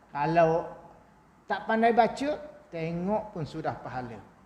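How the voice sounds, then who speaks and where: A high-pitched man at a very slow pace, with noticeable background noise and audible room echo. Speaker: Islamic preacher. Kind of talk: religious lecture. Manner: soft-spoken.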